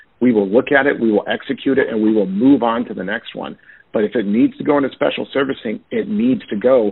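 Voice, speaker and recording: A man with a medium-pitched voice rattles along at a very fast pace with lively intonation. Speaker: loan servicing executive. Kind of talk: panel webinar presentation. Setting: conference call. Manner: fast-paced, urgent.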